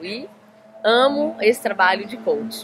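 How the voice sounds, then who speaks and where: A woman talks with a Minas Gerais accent. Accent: Minas Gerais accent, noticeable. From Brazil, Minas Gerais (Belo Horizonte). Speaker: life coach. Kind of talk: interview. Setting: in Florianópolis.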